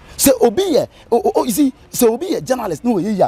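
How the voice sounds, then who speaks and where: In a Ghanaian accent, this loud voice races along at a very fast pace with very wide pitch swings and a dry, close sound with no echo. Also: man. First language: Twi. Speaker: radio presenter. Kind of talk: casual chat. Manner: halting.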